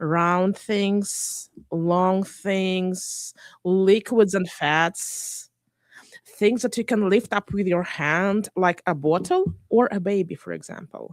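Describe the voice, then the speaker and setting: In a Russian accent, a woman speaks at a very slow pace with fairly even intonation, recorded dry and close with no echo in a very clean recording with a silent background. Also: medium pitch for a woman. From Belarus. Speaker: interview guest. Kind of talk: radio interview.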